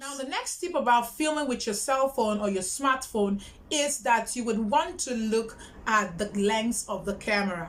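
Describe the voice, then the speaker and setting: A woman with a fairly high voice speaks at a fairly slow pace with lively intonation. Noticeable background noise runs beneath her. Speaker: YouTuber. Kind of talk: tutorial. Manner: loud, projecting.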